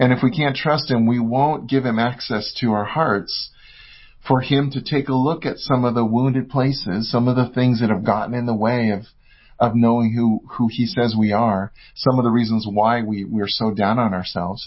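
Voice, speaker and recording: In an American accent, a man speaks at a moderate pace and medium pitch, somewhat breathy, with ordinary pitch variation. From US West Coast. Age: 50s. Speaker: author and speaker. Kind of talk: casual interview chat.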